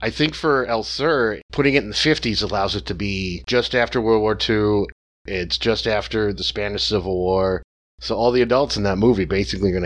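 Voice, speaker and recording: Lively intonation runs through a man's ordinary speaking voice, pitched fairly low and paced fairly quickly. The background is quiet. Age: 40s. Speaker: film podcast guest. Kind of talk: casual chat.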